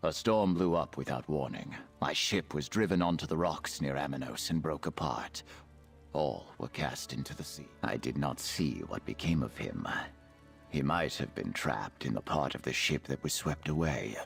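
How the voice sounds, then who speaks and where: Over clear background noise, someone uses a put-on character voice at a moderate pace. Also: man, very deep, low pitch for a man. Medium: video game. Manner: formal, gentle.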